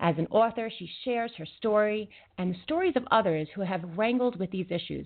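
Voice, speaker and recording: Fairly quick and lively in intonation, a woman talks at a medium pitch with big swings in loudness, in an unremarkable speaking voice. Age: 40s. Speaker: internet radio host and intuitive wellness practitioner. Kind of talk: talk radio interview.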